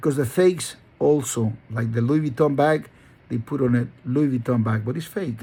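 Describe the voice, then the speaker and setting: A man with a Spanish accent, medium pitch, somewhat breathy and with a dark, mellow tone, at a moderate pace with ordinary pitch variation. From Honduras. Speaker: dog breeder. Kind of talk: motivational monologue. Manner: halting; emphatic.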